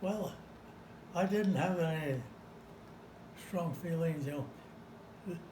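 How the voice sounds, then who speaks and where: Amid noticeable background noise and audible room echo, a man with a high pitch talks very slowly and fairly evenly, pausing long and often. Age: 90s. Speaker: war veteran. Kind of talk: oral history interview.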